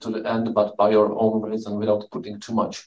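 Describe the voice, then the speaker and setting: A man speaks at a medium pitch with a Czech accent. Room echo is audible. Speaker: event host. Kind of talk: moderated Q&A. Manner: halting.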